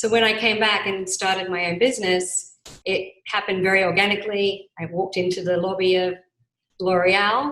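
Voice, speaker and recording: A woman's medium-pitched voice in an Australian accent, bright and sharp in tone, with fairly even intonation and a moderate pace. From Australia, Adelaide. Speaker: business owner. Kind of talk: interview.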